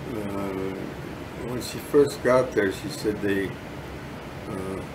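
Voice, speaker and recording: A man talks at a very slow pace and a fairly low pitch, with ordinary pitch variation and big swings in loudness. Noticeable background noise is present. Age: 80s+. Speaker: war veteran. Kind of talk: interview. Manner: halting.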